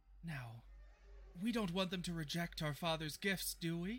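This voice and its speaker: A booming, put-on character voice from a man, fairly high in pitch, with ordinary pitch variation and a fairly slow pace. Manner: commanding.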